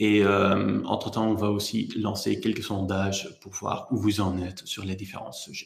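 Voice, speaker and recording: Vocal fry with a non-native accent, monotone, flat intonation, big swings in loudness, hardly any pauses and a fairly slow pace. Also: man, fairly low pitch for a man. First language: not French (speaking French). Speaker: HR software presenter. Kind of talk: webinar presentation. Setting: online webinar. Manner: hesitant, frequent fillers.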